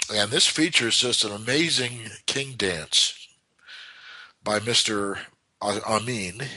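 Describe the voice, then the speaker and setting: Very slowly, a man with an American accent speaks in a bright, sharp tone. Long, frequent pauses break up his speech. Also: medium pitch for a man, ordinary pitch variation. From United States. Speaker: chess commentator. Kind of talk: game analysis commentary. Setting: internet chess club broadcast. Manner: halting.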